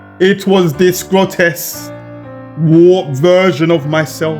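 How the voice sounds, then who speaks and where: A man talks in a high voice with ordinary pitch variation. Music plays behind him. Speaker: horror story narrator. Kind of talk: horror story narration. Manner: emotional, fervent.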